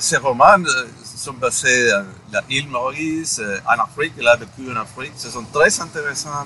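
A man's fairly high voice with a Spanish accent, fairly slow pace, ordinary pitch variation and big swings in loudness, over noticeable background noise. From Guatemala. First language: Spanish (speaking French). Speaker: podcast guest. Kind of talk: interview. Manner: halting.

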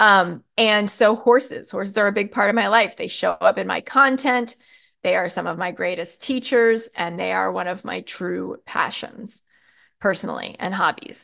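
The background stays quiet. A woman talks at a moderate speed. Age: 40s. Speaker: podcast host, marketing and messaging coach. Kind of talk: solo podcast talk, coaching monologue.

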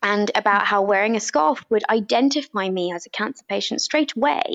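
A woman with a British accent, fairly high in pitch, at a fairly quick pace with lively intonation. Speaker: doctor and author. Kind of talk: interview about personal illness. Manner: passionate, strong.

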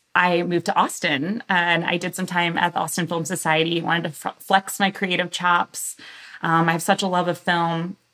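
A woman's fairly low voice in an American accent, bright and sharp in tone, monotone and flat, at a moderate pace. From US South, Galveston, Texas. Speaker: marketing director. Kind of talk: interview.

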